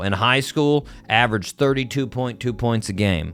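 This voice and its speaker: There is music in the background. Over it, a man talks with ordinary pitch variation. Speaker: radio show host. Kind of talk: casual chat. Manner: halting.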